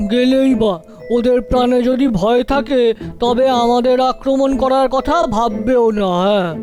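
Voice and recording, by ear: A cartoonish character voice at a fairly high pitch moves at a fairly slow pace over clear music in the background.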